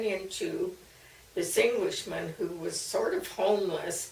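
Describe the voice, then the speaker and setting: With an American accent and a warm tone, a woman speaks over noticeable background noise and audible room echo. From US Mid-Atlantic (Maryland, later Missouri). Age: 80s+. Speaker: elderly woman recording family memories. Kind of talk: personal memoir storytelling. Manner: warm, occasionally halting with fillers.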